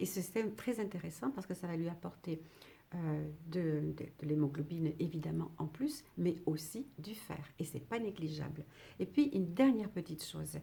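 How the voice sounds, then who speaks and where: The voice has a dark, mellow tone with vocal fry. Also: woman, fairly low pitch for a woman, ordinary pitch variation, moderate pace. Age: 60s. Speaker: retired midwife. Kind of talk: educational talk to camera. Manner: halting, with many fillers.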